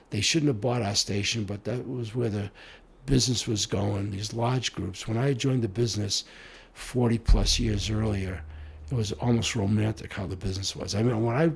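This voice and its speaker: In a somewhat breathy voice, a man with a fairly low pitch speaks at a moderate pace. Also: ordinary pitch variation. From US, Italian-American household. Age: 70s. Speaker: mayor and former broadcast executive. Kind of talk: interview.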